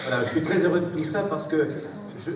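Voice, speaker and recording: A man with a fairly high pitch is heard through noticeable background noise and audible room echo. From southern France. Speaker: mayor. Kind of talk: public speech. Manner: halting.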